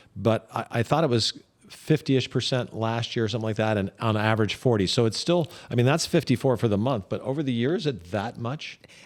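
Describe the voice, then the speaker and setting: With an American accent, a man talks at a fairly quick pace in a medium pitch, using an unremarkable speaking voice. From Idaho. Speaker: real estate agent and podcast host. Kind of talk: casual podcast discussion.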